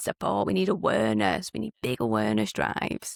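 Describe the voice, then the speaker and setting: With a British accent, a woman speaks at a fairly quick pace, and the sound is dry and close with no echo. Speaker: caregiver and podcast host. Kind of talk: interview.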